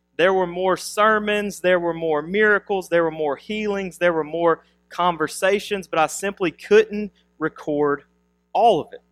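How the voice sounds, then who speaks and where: A man's high voice at a fairly slow pace with fairly even intonation, dry and close with no echo, with music in the background. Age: 30s. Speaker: pastor. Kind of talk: sermon; prayer.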